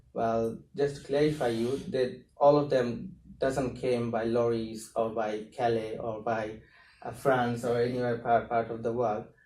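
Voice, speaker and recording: In a room with audible echo, a man talks at a fairly slow pace with a medium pitch, a dark, mellow tone and fairly even intonation. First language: not English. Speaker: asylum seeker and activist. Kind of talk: talk to a university class. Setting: university classroom. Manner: hesitant, with fillers.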